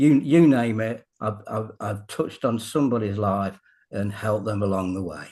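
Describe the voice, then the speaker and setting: A man's fairly low, dark, mellow voice with a British accent, at a moderate pace over a quiet background. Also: ordinary pitch variation. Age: 70s. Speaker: fitness coach. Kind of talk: casual interview.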